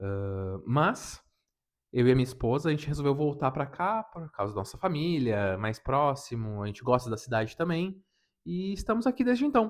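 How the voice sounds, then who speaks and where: A man speaks at a moderate pace in a fairly high voice with very wide pitch swings over a quiet background. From southern Brazil, Rio Grande do Sul (Serra region). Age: 30s. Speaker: anime YouTuber. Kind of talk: casual unedited self-introduction vlog.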